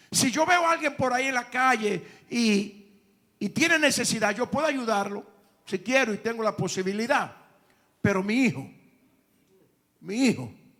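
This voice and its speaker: The speaker uses lively intonation, broken by long, frequent pauses. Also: man. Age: 70s. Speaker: pastor. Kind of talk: sermon.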